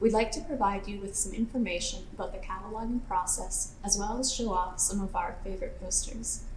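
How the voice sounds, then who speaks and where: With a Canadian accent, a woman talks fairly quickly at a fairly high pitch with ordinary pitch variation, amid audible room echo and noticeable background noise. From Canada (Manitoba). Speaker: archival technician. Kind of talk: scripted presentation. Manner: formal.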